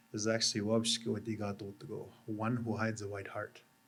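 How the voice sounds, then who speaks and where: At a moderate pace, a man talks in a medium pitch with an ordinary speaking voice. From Canada, Anishinaabe First Nation. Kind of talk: ceremonial talk to audience. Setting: exhibit opening with live audience.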